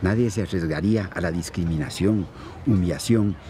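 Over noticeable background noise, a man with a fairly low pitch talks at a fairly slow pace in a dry sound with no echo. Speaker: actor playing a wise older friend. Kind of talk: scripted drama dialogue. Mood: calm, earnest, persuasive. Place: garden.

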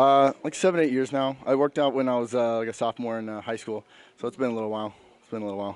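Talking at a very fast pace with fairly even intonation, a man's voice swings widely in loudness, the sound dry with no echo. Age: 20s. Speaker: bodybuilding competitor. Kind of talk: post-competition interview. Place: hall. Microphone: handheld.

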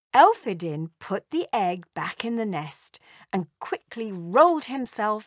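The clip is plain reading aloud, set against a quiet background.

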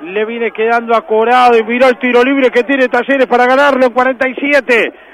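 Over noticeable background noise, a man talks at a fairly quick pace in an excited tone. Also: dry, close sound with no echo. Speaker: football commentator. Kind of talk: live football commentary. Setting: match broadcast. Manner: excited, shouting; fast, building to a goal call.

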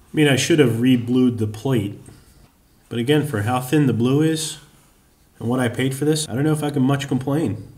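Somewhat breathy and at a medium pitch, a man speaks at a moderate pace with fairly even intonation and long, frequent pauses. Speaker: machinist. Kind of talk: workshop tutorial narration. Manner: dry, deadpan humor.

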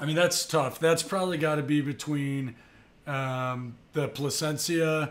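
A man's fairly high voice at a fairly slow pace. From US South, Tampa, Florida. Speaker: yacht broker and YouTuber. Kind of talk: casual talking-head video. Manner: casual, frequent filler words. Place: home room. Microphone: studio mic.

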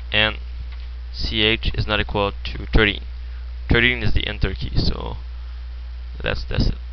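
This man speaks at a moderate pace with a French accent. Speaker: programming tutorial creator. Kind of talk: screen-recorded coding tutorial. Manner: hesitant, many filler words.

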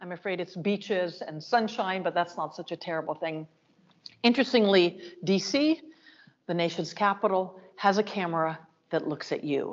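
A woman speaks at a moderate pace with ordinary pitch variation. Her loudness swings widely. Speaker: art museum director. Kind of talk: lecture. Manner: animated. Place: hall.

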